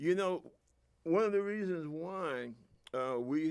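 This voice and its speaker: Talking at a fairly slow pace, a man with a New York accent makes very wide pitch swings. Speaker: political commentator, veteran. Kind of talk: political monologue. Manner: animated.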